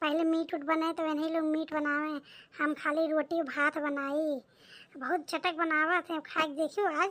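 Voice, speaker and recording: A woman's cartoonish character voice, extremely high-pitched and flat, monotone in intonation. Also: moderate pace. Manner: chatty, folksy.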